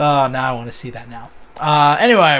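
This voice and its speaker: The speaker is a man. His pitch is fairly high. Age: 20s. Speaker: podcast co-host. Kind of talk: casual chat. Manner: animated.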